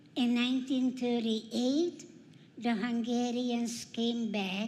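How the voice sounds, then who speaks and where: A woman talks at a very slow pace. Her voice sits high in pitch. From Carpathian region, Central Europe. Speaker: Holocaust survivor speaker. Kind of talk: testimony.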